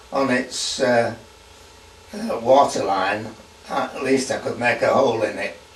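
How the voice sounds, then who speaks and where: Over noticeable background noise, a man talks at a very slow pace. Audible room echo colors the sound. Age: 80s+. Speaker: war veteran. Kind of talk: testimony. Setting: at home. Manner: halting.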